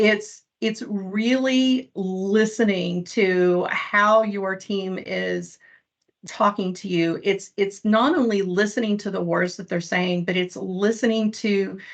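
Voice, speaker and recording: Speaking at a fairly slow pace with a medium pitch and ordinary pitch variation, a woman with an Eastern Kentucky accent is heard over a quiet background. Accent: Eastern Kentucky (self-described hick accent). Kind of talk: panel presentation. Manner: occasional word-finding stumbles after stroke.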